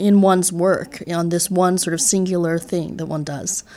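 A woman with an American accent speaks at medium pitch with fairly even intonation. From New York City area. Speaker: cellist. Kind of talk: interview conversation. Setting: music studio.

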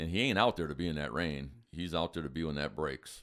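A man with an American accent, very deep and low in pitch, very fast, with vocal fry and ordinary pitch variation. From Wisconsin. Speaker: deer hunter. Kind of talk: casual chat.

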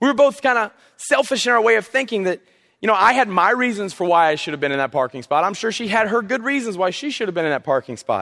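Against a quiet background, a man with a Southern US accent speaks in a raised, projected voice at a very fast pace, his tone bright and sharp and his intonation lively. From South Carolina coast. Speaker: youth pastor. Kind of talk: sermon. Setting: church. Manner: casual, halting with fillers.

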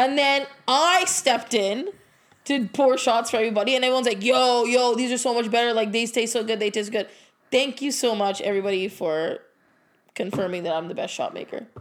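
An ordinary speaking voice moves at a fairly quick pace with lively intonation. The recording is very clean, with a silent background. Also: woman, fairly high pitch for a woman. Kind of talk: casual chat. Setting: living room at home. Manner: casual, swears often.

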